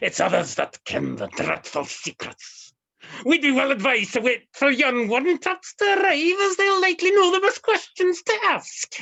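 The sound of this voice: A woman speaks in a put-on character voice, pitched high with vocal fry. Her pace is moderate. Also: lively intonation, fairly bright tone.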